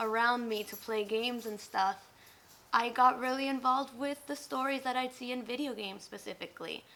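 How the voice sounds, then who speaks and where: With a Spanish accent, a woman talks at a fairly quick pace and a high pitch. Her tone is bright and sharp, her intonation fairly even. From Mexico and southern California. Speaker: college student. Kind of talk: interview.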